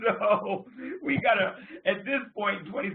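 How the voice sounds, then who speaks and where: Over noticeable background noise, a man speaks in an American accent at a moderate pace. His tone is animated and his intonation lively. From US Northeast. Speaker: business group leader hosting a call. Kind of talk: conference call meeting. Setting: phone conference call.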